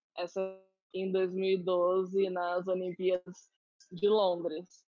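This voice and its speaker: A woman's medium-pitched voice at a very slow pace, with music in the background. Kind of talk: casual interview on a live stream. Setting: online live stream. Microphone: audio freezing on the connection.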